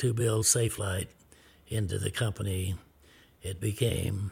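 A man with an American accent speaks at a fairly slow pace in a fairly low, somewhat breathy voice with ordinary pitch variation, on a very clean recording with a silent background. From US Midwest, small-town Kansas. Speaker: businessman, club owner. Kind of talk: interview storytelling.

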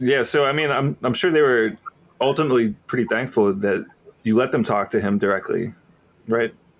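Speaking at a fairly quick pace, a man has an unremarkable speaking voice and a medium pitch. His loudness stays very even, and his pitch variation is ordinary. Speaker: podcast host. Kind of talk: casual interview conversation. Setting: remote call.

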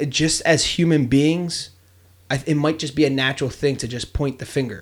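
Against a very clean recording with a silent background, a man speaks in a normal speaking voice at a moderate pace, his pitch fairly high with ordinary pitch variation. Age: 30s. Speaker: podcast host. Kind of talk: casual chat.

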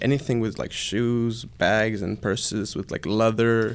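A man's medium-pitched voice with vocal fry and an American accent, on a very clean recording with a silent background. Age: 20s. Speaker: shoe repair business owner. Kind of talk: interview. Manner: casual, halting with fillers.

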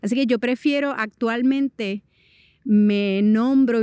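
Recorded with a dry, close sound and no echo, a woman speaks in a Puerto Rican accent at a fairly high pitch with ordinary pitch variation. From Puerto Rico. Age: 40s. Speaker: movement artist. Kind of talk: personal interview monologue.

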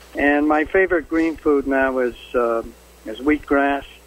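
Against noticeable background noise, a man with a fairly high pitch talks with ordinary pitch variation. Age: 80s+. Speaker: health food store owner. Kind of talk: radio interview. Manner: halting.

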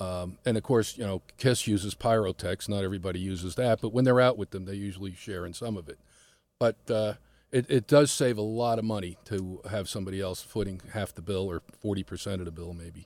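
With a dry, close sound and no echo, a man talks fairly quickly in a normal speaking voice, fairly low in pitch with ordinary pitch variation and big swings in loudness. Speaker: business manager for bands. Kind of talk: radio interview, casual and informative.

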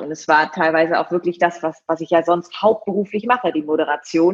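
The speaker has a plain, everyday voice. The pace is moderate. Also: woman. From East Frisia, northern Germany (Leer). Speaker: TV presenter and event host. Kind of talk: casual interview.

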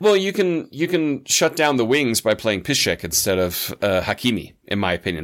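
In a plain, everyday voice with lively intonation, a man speaks at a moderate pace on a very clean recording with a silent background. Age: 40s. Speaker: football podcast guest. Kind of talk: casual chat.

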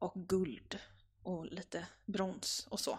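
A woman talks at medium pitch with vocal fry. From Gothenburg, Sweden. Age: 20s. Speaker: style blogger and teacher. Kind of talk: casual interview.

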